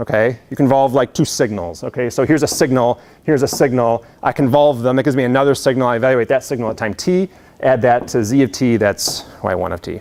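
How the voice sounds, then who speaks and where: His delivery is very fast. This man has a medium pitch with ordinary variation. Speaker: university lecturer. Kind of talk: lecture. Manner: casual, filler-heavy.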